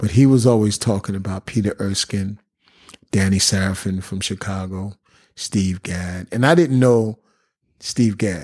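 Speaking with a New York accent, a man has a fairly low pitch and fairly even intonation. He goes at a fairly slow pace on a very clean recording with a silent background. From Bronx, New York. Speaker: drummer. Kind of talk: casual chat.

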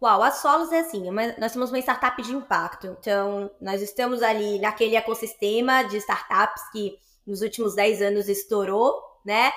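In a normal speaking voice, a woman speaks at a moderate pace and a fairly high pitch with ordinary pitch variation. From Bahia, Brazil (Salvador). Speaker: social entrepreneur, startup partner. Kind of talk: interview conversation.

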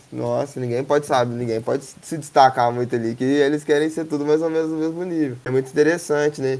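A man with a normal speaking voice and fairly high pitch goes at a fairly quick pace, with fairly even intonation and hardly any pauses. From Três Pontas, Minas Gerais, Brazil. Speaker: skateboarding community project founder. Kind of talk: casual interview.

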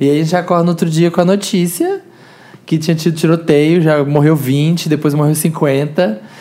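Over noticeable background noise, a man with a Brazilian accent talks at a moderate pace and fairly high pitch, his loudness very even and his intonation fairly even. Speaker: podcast guest. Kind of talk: casual chat.

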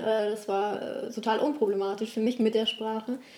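Over noticeable background noise, a woman talks in a fairly high pitch with monotone, flat intonation. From Italy, then Germany from age eight. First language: Italian (speaking German). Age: young. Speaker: relationship coach. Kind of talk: interview, life story. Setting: at home on the couch.

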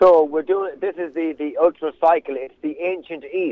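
A man speaks with a west of Ireland accent at a moderate pace. His pitch is fairly high. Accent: west of Ireland Irish. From Ireland, County Mayo. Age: 40s. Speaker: agribusiness owner and charity cyclist. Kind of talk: radio interview.

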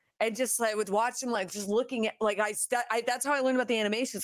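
Very fast speech comes from a woman with a fairly high pitch and ordinary pitch variation. The recording is very clean, with a silent background. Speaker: podcast co-host and streamer. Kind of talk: casual chat.

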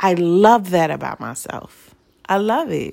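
A woman speaks in a normal speaking voice. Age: 40s. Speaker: podcast host. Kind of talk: solo monologue. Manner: casual with frequent fillers.

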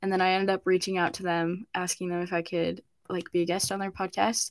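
A woman speaks at a moderate pace and medium pitch in an ordinary speaking voice. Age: young. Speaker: podcast host and university student. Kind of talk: casual chat.

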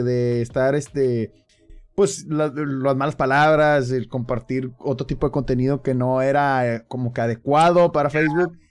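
Music plays in the background as a man talks at a moderate pace. His pitch is fairly high. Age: 30s. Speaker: streamer and podcast host. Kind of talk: casual chat.

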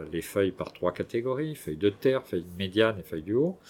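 The voice belongs to a man. He uses ordinary pitch variation. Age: 60s. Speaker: farmer. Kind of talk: interview. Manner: halting.

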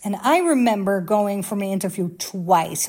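A woman with a Dutch accent, medium in pitch, dark and mellow in tone, with ordinary pitch variation and a moderate pace. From Netherlands, near Amsterdam. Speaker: former private jet flight attendant, vlogger. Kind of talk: casual monologue to viewers. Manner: animated.

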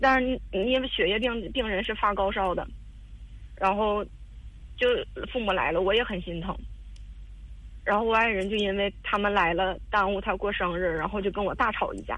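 A woman speaks with fairly even intonation and long, frequent pauses, her voice carrying audible room echo. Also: medium pitch for a woman, moderate pace. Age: 30s. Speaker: caller seeking advice on marriage. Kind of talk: personal story on call-in advice show. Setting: phone call. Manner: halting, many fillers and repetitions.

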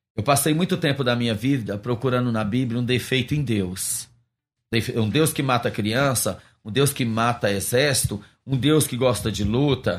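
A man with an ordinary speaking voice talks at a moderate pace in a medium pitch, with ordinary pitch variation, on a very clean recording with a silent background. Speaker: pastor and missionary. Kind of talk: interview testimony.

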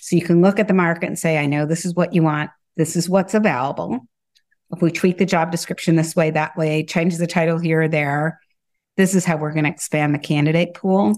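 Speaking at a fairly quick pace with an American accent, a woman has an unremarkable speaking voice. Her pitch sits fairly low and her intonation stays fairly even. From US Midwest, Michigan. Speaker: talent acquisition director. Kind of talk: interview conversation.

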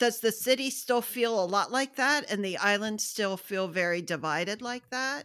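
A woman with an American accent speaks at a moderate pace in an ordinary speaking voice, her pitch varying in an ordinary way. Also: fairly high pitch for a woman. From United States. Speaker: podcast host, book club. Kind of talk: interview.

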